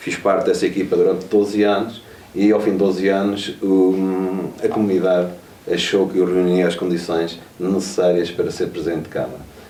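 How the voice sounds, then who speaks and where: A man speaks in a very deep, low pitch with monotone, flat intonation at a moderate pace. Noticeable background noise and audible room echo fill the recording. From Trás-os-Montes, northern Portugal (Vila Pouca de Aguiar). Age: 40s. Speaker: mayor. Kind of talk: interview. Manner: hesitant, with frequent fillers and repetitions.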